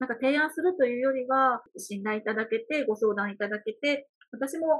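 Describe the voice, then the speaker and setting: A woman speaks in a plain, everyday voice. Her pitch sits fairly high, and her intonation is lively. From Hyogo, Kansai (rural Ako). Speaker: wedding producer and emcee. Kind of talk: casual interview.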